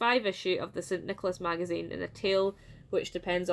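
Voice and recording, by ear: Natural-voiced reading aloud, the intonation fairly even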